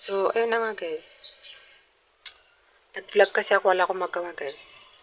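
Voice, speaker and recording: Fairly even intonation from a woman, at a moderate pace. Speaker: vlogger. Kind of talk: casual vlog. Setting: outdoors.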